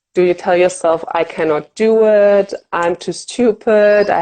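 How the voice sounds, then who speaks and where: A woman with a German accent speaks at a very slow pace, her tone dark and mellow and her intonation fairly even. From Germany. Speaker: fear of flying coach. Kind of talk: interview.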